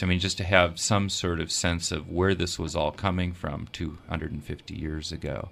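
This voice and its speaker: A man with an American accent speaks at a moderate pace in a very deep, low pitch, his intonation monotone and flat. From Minnesota, US Midwest. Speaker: editorial cartoonist. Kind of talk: radio interview. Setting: studio.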